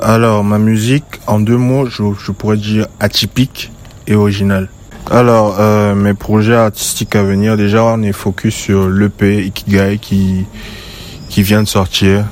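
A man speaks at a fairly slow pace and a fairly low pitch. His intonation is monotone and flat, with noticeable background noise behind him. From western Cameroon. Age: 20s. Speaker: musician. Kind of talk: recorded interview answers.

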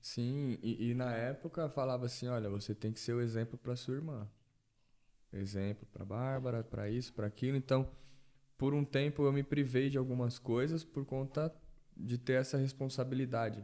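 A man speaks at a medium pitch with a dark, mellow tone. His intonation stays fairly even. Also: moderate pace. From Brazil, São Paulo metro area (Taboão da Serra). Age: 20s. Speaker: physiotherapist. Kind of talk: casual chat.

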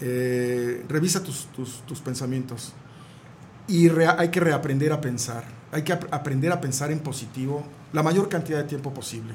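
A man's fairly high voice at a moderate pace, with ordinary pitch variation and audible room echo. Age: 60s. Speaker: neurolinguistic programming therapist. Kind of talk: radio interview.

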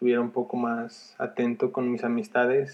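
A man talks at a very slow pace. His voice sits at a medium pitch. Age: 20s. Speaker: first-time podcaster, entrepreneur. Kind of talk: casual monologue. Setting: sister's bedroom. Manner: hesitant, repeats words. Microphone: headset mic on sister's computer, poor sound.

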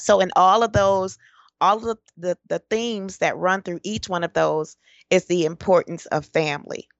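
A woman with an American accent and an ordinary speaking voice, at medium pitch with ordinary pitch variation and a moderate pace. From Detroit, Michigan, US. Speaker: personal change coach. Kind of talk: interview.

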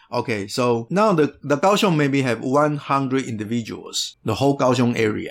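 This speaker has a Taiwanese accent and lively intonation. The pace is moderate, with hardly any pauses. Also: man, medium pitch for a man. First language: Mandarin. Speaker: conservation organization leader. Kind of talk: interview.

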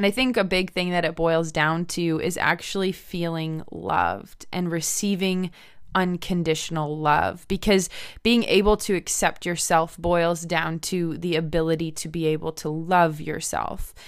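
A woman with an American accent has a plain, everyday voice, fairly low in pitch with fairly even intonation. She speaks at a fairly slow pace on a very clean recording with a silent background. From United States. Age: 20s. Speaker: podcast host, missionary. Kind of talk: faith-based podcast monologue.

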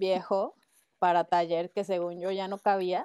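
A woman speaks with a Mexican accent in a very clean recording with a silent background. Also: dry, close sound with no echo. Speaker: ceramic artist. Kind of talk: casual chat.

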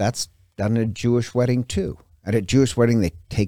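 In an American accent, a man talks at a medium pitch with a dark, mellow tone. The recording is dry and close, with no echo. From Montana. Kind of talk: religious teaching talk.

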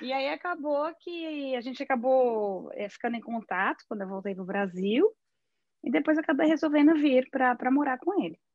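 A woman with a high voice talks at a moderate pace. Her pitch swings very widely. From Brazil. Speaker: psychologist and bookseller. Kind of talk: interview.

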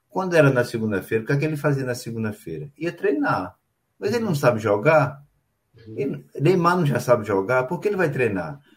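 The speaker moves at a fairly quick pace and sounds somewhat breathy. The pitch swings very widely. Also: man, fairly high pitch for a man. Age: 60s. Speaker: show host and table football organizer. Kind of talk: casual chat. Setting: live stream.

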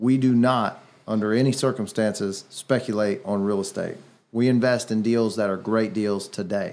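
Here is a normal speaking voice from a man at medium pitch. He talks at a moderate pace with fairly even intonation. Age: 30s. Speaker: real estate investor and podcast host. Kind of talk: casual chat. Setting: studio.

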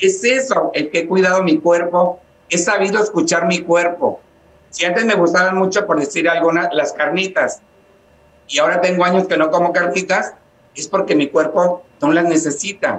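Fairly even in intonation, a man speaks at high pitch and a moderate pace. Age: 50s. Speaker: psychotherapist and spiritual healer. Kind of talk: interview.

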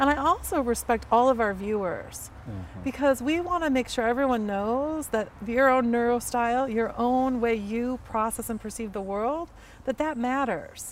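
A woman's high-pitched voice with an American accent, at a moderate pace with ordinary pitch variation and hardly any pauses. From US Midwest, Chicago. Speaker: psychiatrist and podcast co-host. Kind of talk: casual chat. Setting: in person, Pacific Palisades. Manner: animated.

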